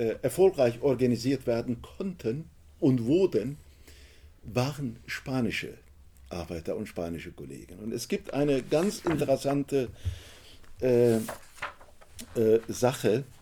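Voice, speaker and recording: A man with a dark, mellow tone and vocal fry speaks at a medium pitch and a very slow pace, with very wide pitch swings and long, frequent pauses. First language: Turkish (speaking German). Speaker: author and trade unionist. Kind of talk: book talk. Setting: bookshop event with audience.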